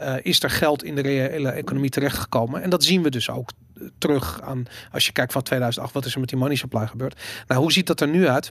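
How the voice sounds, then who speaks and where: Talking at a fairly quick pace, a man uses a normal speaking voice pitched fairly high, with ordinary pitch variation. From Amsterdam, Netherlands. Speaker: podcast host. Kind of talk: casual chat.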